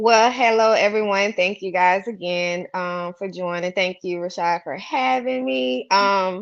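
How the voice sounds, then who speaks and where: Against a quiet background, a woman with a Southern US accent speaks at a fairly slow pace and a medium pitch, with lively intonation. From US South, Mobile, Alabama. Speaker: author and real estate professional. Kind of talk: casual interview. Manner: animated.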